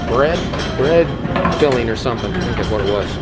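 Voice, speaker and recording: Loud background noise surrounds a man as he talks. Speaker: vlogger filming the buffet. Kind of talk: casual vlog chat. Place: hall. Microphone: phone near.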